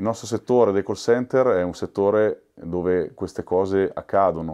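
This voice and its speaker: A man speaks at a moderate pace in a very deep, low pitch with a dark, mellow tone over a quiet background. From Milan, Italy. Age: 40s. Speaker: union representative at a call center. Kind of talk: documentary interview. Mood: calm, reflective. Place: office.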